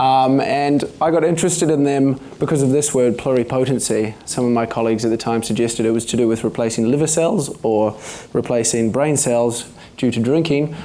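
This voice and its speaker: This man has a New Zealand accent and a medium pitch. His pitch varies in an ordinary way. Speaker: stem cell researcher. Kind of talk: public talk. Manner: hesitant, many fillers; not fast.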